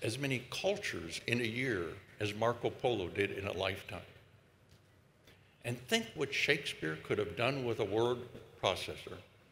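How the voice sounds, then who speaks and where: A man with an American accent speaks in a bright, sharp tone with vocal fry at medium pitch. Long, frequent pauses break his speech, and room echo is audible. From United States. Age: 80s+. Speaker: epidemiologist. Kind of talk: commencement speech. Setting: stage with audience.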